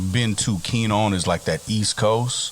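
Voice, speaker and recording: A man with an American accent speaks at a fairly low pitch with ordinary pitch variation. Noticeable background noise runs underneath. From US South (Texas, Oklahoma, Arkansas). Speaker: radio station manager. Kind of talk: casual chat.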